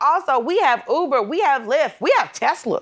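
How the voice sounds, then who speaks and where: Raised and projected, a woman's high-pitched voice comes across animated, with a bright, sharp tone. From Georgia, US South. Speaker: comedian and correspondent. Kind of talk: comedic banter.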